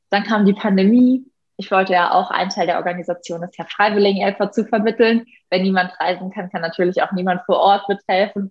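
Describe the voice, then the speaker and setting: At a fairly quick pace, a woman speaks in a somewhat breathy voice with medium pitch and monotone, flat intonation. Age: 20s. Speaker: animal welfare activist and primatologist. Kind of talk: podcast interview.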